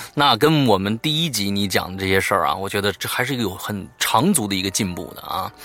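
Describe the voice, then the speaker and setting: A man with a fairly low voice talks fairly quickly with hardly any pauses and lively intonation. Noticeable background noise runs underneath. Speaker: podcast host of ghost story show. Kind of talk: casual chat.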